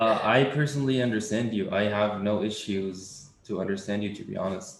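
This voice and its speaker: A man talks at a fairly quick pace with an Arabic accent. His fairly low voice has ordinary pitch variation. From Tunisia. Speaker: coding interview student. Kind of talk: casual chat.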